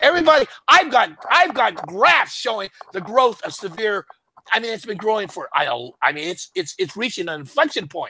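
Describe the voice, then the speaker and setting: A man speaks in an animated, raised and projected voice, high-pitched with a bright, sharp tone, swinging very widely in pitch at a fairly quick pace. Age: 70s. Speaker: author and economic commentator. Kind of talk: casual interview chat. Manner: animated, repetitive.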